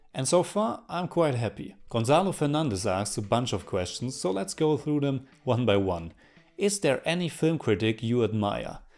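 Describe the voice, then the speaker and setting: In a strong German accent, a man at a medium pitch talks at a moderate pace with very wide pitch swings in a very clean recording over a silent background. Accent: thick German. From Germany, North Rhine-Westphalia. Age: 30s. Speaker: film reviewer YouTuber. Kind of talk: Q&A video monologue.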